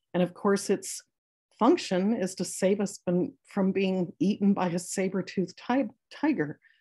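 A somewhat breathy woman's voice of medium pitch and dark, mellow tone, at a fairly slow pace with ordinary pitch variation against a quiet background. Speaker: eating disorder clinician. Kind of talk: lecture. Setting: video call. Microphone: video call.

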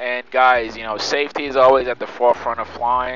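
A man at a moderate pace, dry sound with no echo and faint music in the background. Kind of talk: casual vlog commentary.

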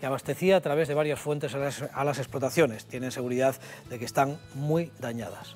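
A man's fairly quick, fairly even-toned speech over light background noise. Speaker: news presenter. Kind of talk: news presentation. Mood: sober, serious. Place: studio. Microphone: lapel.

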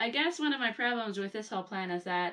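A woman talks at a fairly quick pace against a quiet background. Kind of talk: casual vlog chat. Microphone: camera far.

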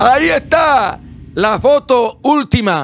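A man speaks loudly in an animated tone with a Dominican accent. The recording is very clean, with a silent background. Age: old. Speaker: online show host. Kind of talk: comedic rant.

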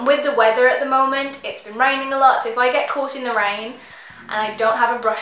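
Amid light background noise and audible room echo, a woman speaks at a fairly quick pace with fairly even intonation. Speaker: beauty vlogger. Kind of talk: casual vlog chat. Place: home room.

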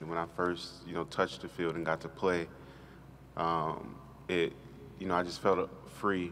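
Over light background noise, a man with a very deep, low pitch talks at a fairly slow pace, his intonation fairly even and his pauses long and frequent. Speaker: college football player. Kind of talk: press interview. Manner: halting. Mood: reflective, somber yet hopeful. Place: hall. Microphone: podium.

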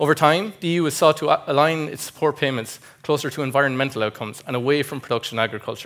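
At a very fast pace, a man with an Irish Midlands accent speaks at a fairly high pitch with ordinary pitch variation. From Ireland, County Westmeath; Ireland. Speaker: agribusiness specialist presenting research; conference presenter. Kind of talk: conference presentation. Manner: formal. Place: hall.

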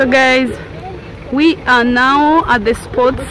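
Crowd noise fills the background as a woman speaks at a high pitch with ordinary pitch variation, the sound dry with no echo. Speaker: travel vlogger. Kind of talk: casual vlog chat.

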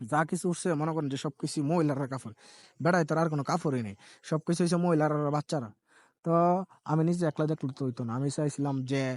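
Recorded dry and close with no echo against a quiet background, a man speaks at a fairly high pitch with ordinary pitch variation. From Brahmanbaria, Bangladesh. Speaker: vlogger. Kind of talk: walking vlog narration. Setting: outdoors at a fair. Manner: casual, rambling.

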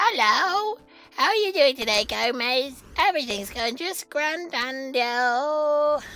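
Over faint music in the background, a female-sounding voice does a put-on character voice pitched high. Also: fairly slow pace. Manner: sweet, singsong.

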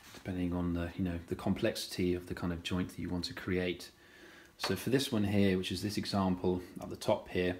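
Over light background noise, a man talks at a fairly quick pace. His pitch is very deep and low, with fairly even intonation. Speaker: woodworking tutor. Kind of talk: tutorial. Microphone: phone near.

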